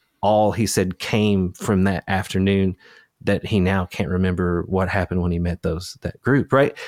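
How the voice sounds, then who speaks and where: A man with an Appalachian accent, very deep and low-pitched, fairly even in intonation and moderate in pace, in a dry, close sound with no echo on a very clean recording with a silent background. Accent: Appalachian US Southern. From Eastern Kentucky, Appalachia. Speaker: podcast host and researcher. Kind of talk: casual interview chat.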